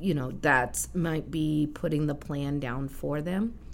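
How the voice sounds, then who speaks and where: A woman's very deep, low voice with an American accent and vocal fry, fairly slow, with ordinary pitch variation and audible room echo. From Kansas. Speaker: business consultant. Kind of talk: casual interview.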